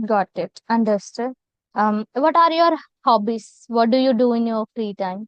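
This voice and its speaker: A woman speaks at a fairly slow pace in a fairly high pitch, with ordinary pitch variation. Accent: Indian. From India, Telangana. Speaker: content creator, English practice host. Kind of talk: casual conversation practice.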